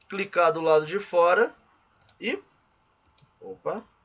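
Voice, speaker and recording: Pitch variation stays ordinary as a man talks at a very slow pace. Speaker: physical education teacher and course instructor. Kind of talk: tutorial.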